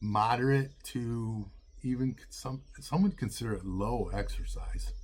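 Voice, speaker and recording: Somewhat breathy, a man speaks at a fairly slow pace in a medium pitch with ordinary pitch variation. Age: 60s. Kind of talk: casual talk to camera. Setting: outdoors.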